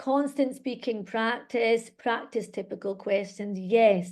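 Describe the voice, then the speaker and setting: The speaker has a Scottish accent and a fairly slow pace. Pitch variation is ordinary. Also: woman. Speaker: English teacher and exam trainer. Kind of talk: webinar presentation. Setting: online webinar. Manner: animated.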